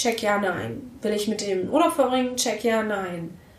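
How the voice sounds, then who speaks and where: A woman speaks in an animated tone with lively intonation. Noticeable background noise runs underneath. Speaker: podcast host. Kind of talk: interview conversation. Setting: home of guests.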